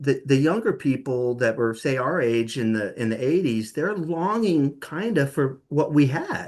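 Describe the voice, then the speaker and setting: A man with an ordinary speaking voice talks at a fairly slow pace in a fairly high pitch, with lively intonation. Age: 60s. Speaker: music journalist. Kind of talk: interview.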